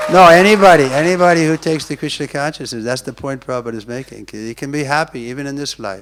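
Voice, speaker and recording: A man with an American accent talks at a very fast pace with hardly any pauses, his fairly high voice showing ordinary pitch variation and big swings in loudness over noticeable background noise. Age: 70s. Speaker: monk and preacher. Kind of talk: lecture.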